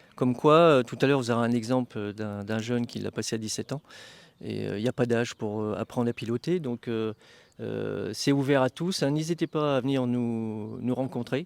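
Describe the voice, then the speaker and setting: A man speaks at a moderate pace in a medium pitch, with ordinary pitch variation and a plain, everyday voice. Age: 60s. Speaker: flying club vice-president. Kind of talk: interview.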